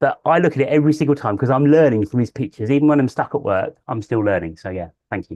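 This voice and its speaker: A man's dark, mellow voice at a very fast pace, with lively intonation and hardly any pauses, dry and close with no echo, over a quiet background. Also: medium pitch for a man. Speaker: birdwatching show co-host. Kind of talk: casual chat.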